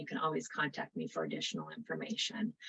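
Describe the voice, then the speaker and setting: The pace is very fast. The accent is American. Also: woman. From North Dakota. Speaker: state early childhood program presenter. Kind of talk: webinar presentation.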